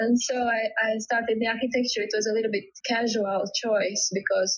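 A woman speaks with a Latvian accent at a fairly high pitch. Her intonation is monotone and flat. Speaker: home stager. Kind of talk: interview conversation. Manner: halting.

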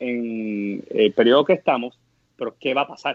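Ordinary pitch variation runs through the speech. The speaker is a man. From Puerto Rico, Guayama area. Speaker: startup co-founder. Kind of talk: interview conversation. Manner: hesitant, many fillers.

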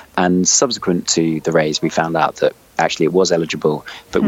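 Over noticeable background noise, a man with a very deep, low voice talks at a very fast pace with fairly even intonation. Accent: London. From London. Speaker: startup CEO. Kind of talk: interview.

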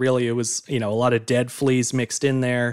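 Talking at a very fast pace, a man with a medium pitch is recorded with a dry, close sound and no echo. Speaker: guest expert on flea circuses. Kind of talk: casual chat.

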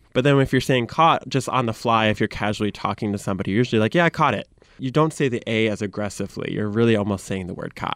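A man with a Michigan accent talks at a very fast pace with hardly any pauses and ordinary pitch variation against a quiet background. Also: medium pitch for a man. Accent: Michigan (Great Lakes) American. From US Midwest. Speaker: social media content creator. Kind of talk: interview. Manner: animated.

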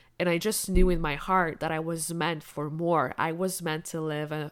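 On a very clean recording with a silent background, a woman talks at a fairly low pitch in a flat monotone. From Quebec, Canada. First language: French and Spanish. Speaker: business coach. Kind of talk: personal storytelling monologue.

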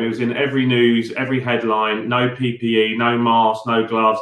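A man is speaking. He has a British accent. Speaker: builders merchant leader. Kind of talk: casual interview chat.

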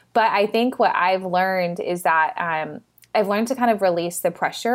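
On a very clean recording with a silent background, a woman uses a normal speaking voice at a medium pitch, moderate pace and ordinary pitch variation. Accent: American. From Texas. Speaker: nonprofit founder. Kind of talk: casual interview chat.

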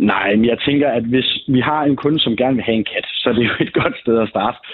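Here is a man with an unremarkable speaking voice at a medium pitch. He talks at a fairly quick pace with fairly even intonation. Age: 20s. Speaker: salesman. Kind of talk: phone interview. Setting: phone call.

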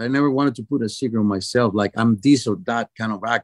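This man's speech has a moderate pace. There is no echo, and the sound is dry and close. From Venezuela, Caracas. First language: Spanish. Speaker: actor. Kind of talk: interview. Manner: halting.

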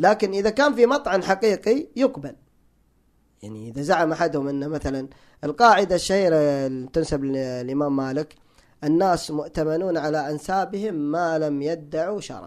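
A man's fairly high-pitched voice at a moderate pace, with big swings in loudness. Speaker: electrical engineer and language enthusiast. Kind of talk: casual interview conversation. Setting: studio.

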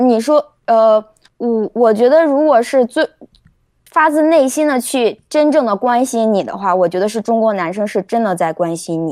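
In a northern Chinese accent, a woman with a fairly high pitch talks at a moderate pace with lively intonation, the sound dry and close with no echo. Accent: noticeable retroflex (northern Mandarin). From China, Shandong (Jinan) then Beijing. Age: 30s. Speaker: caller on live stream. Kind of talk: casual chat.

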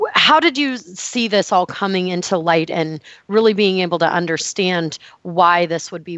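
Here is a woman with an ordinary speaking voice. She has a fairly low pitch and ordinary pitch variation. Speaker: health podcast host. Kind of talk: interview.

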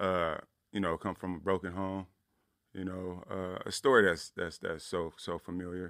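This voice has a monotone, flat intonation and an American accent. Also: man, very deep, low pitch for a man, moderate pace, very clean recording, silent background. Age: young. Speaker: professor. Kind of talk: testimony. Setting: studio.

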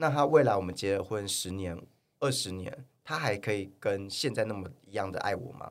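A man has an unremarkable speaking voice, fairly low in pitch, with ordinary pitch variation, a moderate pace and big swings in loudness. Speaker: fitness influencer and model. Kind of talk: casual interview chat. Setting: studio.

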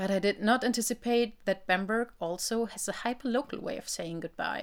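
On a very clean recording with a silent background, a woman with a German accent speaks at a moderate pace with ordinary pitch variation. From northern Germany, village near Hamburg. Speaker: linguistics researcher. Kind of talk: personal audio piece then casual conversation.

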